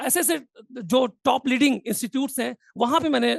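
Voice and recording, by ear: Speaking at a fairly quick pace, a man uses an extremely high pitch with ordinary pitch variation and vocal fry, the sound dry and close with no echo.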